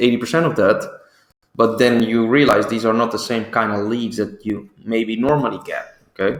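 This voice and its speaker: Someone with a Dutch accent talks at a moderate pace with fairly even intonation. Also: man, medium pitch for a man. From Netherlands. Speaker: business owner, ad agency. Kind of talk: sales pitch. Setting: recorded video presentation. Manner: hesitant, many fillers.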